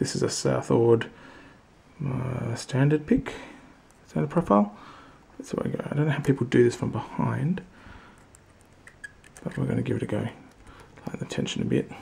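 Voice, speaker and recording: Speaking at a moderate pace with an Australian accent, a man leaves long, frequent pauses. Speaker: hobby lock picker. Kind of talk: casual talk to camera. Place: workshop. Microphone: phone near.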